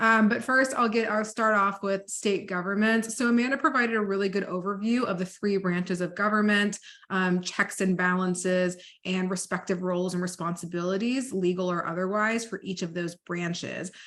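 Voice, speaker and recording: Someone with an American accent speaks with hardly any pauses and ordinary pitch variation against a quiet background. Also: woman, medium pitch for a woman. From Dallas, Texas. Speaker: policy advocate, trainer. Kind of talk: training presentation. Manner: fast.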